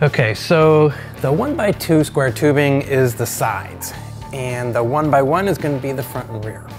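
A man talking at a fairly slow pace over clear background music. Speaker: fabrication show host. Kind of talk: tutorial. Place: workshop.

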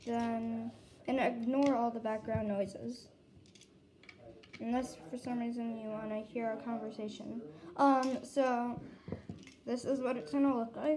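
A woman at a fairly slow pace with long, frequent pauses and ordinary pitch variation, over noticeable background noise. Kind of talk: casual tutorial. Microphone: phone near.

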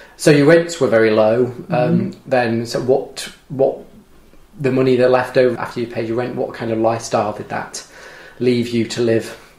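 There is noticeable background noise as a man speaks at a moderate pace, medium in pitch with ordinary pitch variation. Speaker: social policy lecturer. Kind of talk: interview. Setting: home kitchen.

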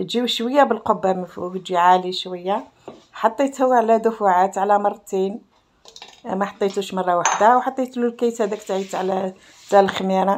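Delivery comes at a moderate pace. The intonation is fairly even. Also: woman. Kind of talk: cooking tutorial. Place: kitchen. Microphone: phone near.

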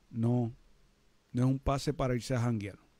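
Against a quiet background, a man with a Puerto Rican accent speaks in a dark, mellow tone, the sound dry with no echo. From Puerto Rico, San Juan. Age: 60s. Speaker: security industry trainer and live-stream host; labor law advisor host. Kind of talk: live-stream talk to viewers; live stream talk show commentary. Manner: animated. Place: studio. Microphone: studio mic.

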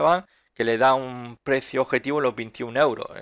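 This man uses a normal speaking voice at medium pitch and a moderate pace, with ordinary pitch variation. The recording is very clean and the background is silent. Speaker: stock market analyst youtuber. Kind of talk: market analysis commentary.

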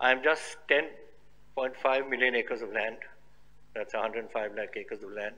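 The tone is bright and sharp. A man delivers his words at a fairly slow pace. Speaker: politician giving a speech. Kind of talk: formal speech. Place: hall. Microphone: podium.

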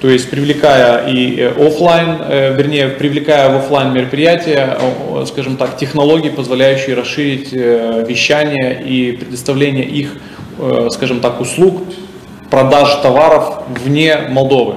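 Audible room echo and light background noise accompany a very slow delivery in a monotone, flat intonation. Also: man, fairly high pitch for a man. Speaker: exhibition organizer, company founder; speaker. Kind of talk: presentation. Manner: halting. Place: meeting room.

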